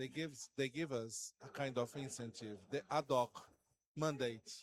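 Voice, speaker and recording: A man with a Portuguese accent, medium pitch, fairly even intonation and a fairly slow pace, in a dry, close sound with no echo. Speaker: panelist. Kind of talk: panel discussion.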